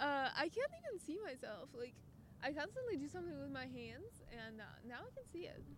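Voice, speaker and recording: A woman with a Russian accent at a fairly quick pace, over noticeable background noise. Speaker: podcast guest. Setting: in person.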